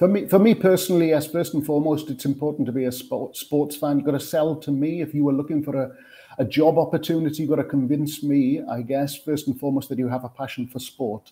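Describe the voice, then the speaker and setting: A man with a Welsh accent talks at a very fast pace with hardly any pauses. His voice is fairly high with a dark, mellow tone and fairly even intonation. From Wales. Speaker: sports television producer. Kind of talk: panel interview.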